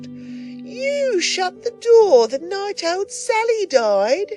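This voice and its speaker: An extremely high, squeaky, put-on character voice swoops through very wide pitch swings at a very slow pace, with clear music in the background. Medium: read story.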